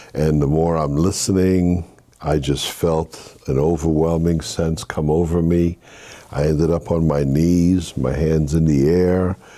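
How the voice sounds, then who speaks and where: Against noticeable background noise, a man speaks at a fairly slow pace in a very deep, low voice with monotone, flat intonation and very even loudness. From Haiti, raised in Brooklyn, New York. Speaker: minister. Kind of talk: interview testimony.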